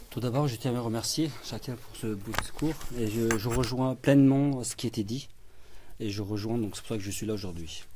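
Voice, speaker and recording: A man's dark, mellow voice at medium pitch with ordinary pitch variation, a moderate pace and audible room echo. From France. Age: 30s. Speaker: political candidate. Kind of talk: press conference speech.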